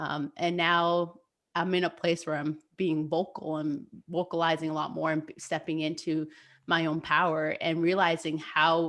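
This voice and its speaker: A woman's fairly low, monotone, flat voice in a Spanish accent against a quiet background. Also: moderate pace. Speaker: podcast co-host, youth mentor. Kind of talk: casual chat. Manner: halting, many fillers.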